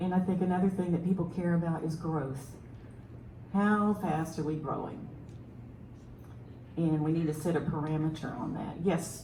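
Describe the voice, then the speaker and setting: A Southern US accent at a moderate pace with long, frequent pauses, plus audible room echo and noticeable background noise. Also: woman. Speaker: city council candidate, military veteran. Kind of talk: candidate forum answer.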